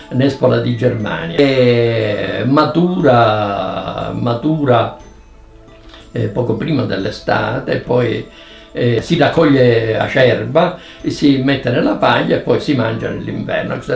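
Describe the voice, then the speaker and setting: Over music in the background, a man with a medium pitch speaks at a very slow pace. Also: ordinary pitch variation. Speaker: professor, dialect expert. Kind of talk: educational explanation.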